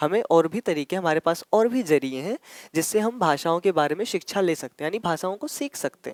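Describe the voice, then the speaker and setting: A man talks at a moderate pace with lively intonation and hardly any pauses. The very clean recording has a silent background and a dry, close sound with no echo. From Ayodhya, Uttar Pradesh, India (Awadhi region). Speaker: teacher. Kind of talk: exam-prep lecture. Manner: explanatory, repetitive.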